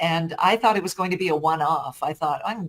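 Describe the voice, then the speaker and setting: A woman with a normal speaking voice talks at a fairly quick pace and a fairly low pitch. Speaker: voice actor. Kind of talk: interview answer.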